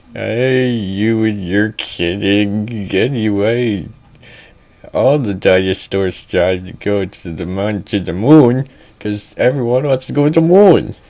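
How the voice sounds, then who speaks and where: Putting on a character voice, a man talks at a fairly low pitch and a fairly slow pace. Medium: read story. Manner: creepy, rambling.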